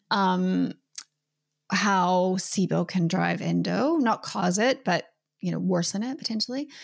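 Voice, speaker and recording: The voice carries a Canadian accent and moves at a fairly slow pace. The recording is very clean, with a silent background. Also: woman. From Canada. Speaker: naturopathic doctor and author. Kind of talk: interview.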